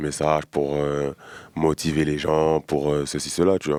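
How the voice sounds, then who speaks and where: The delivery is monotone and flat at a fairly slow pace. The sound is dry and close, without echo. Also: man. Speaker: rapper. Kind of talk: interview. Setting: studio. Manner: halting, many fillers.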